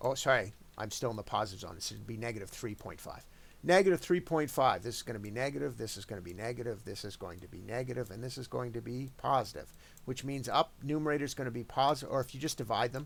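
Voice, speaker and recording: Speaking very fast at a medium pitch, a man shows lively intonation, vocal fry and big swings in loudness. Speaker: math teacher. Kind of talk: tutorial.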